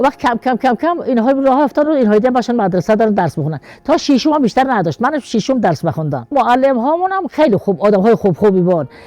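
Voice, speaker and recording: Her pitch swinging very widely, a woman races along at a very fast pace with hardly any pauses. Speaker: mother of a martyr, village elder. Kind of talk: interview answer.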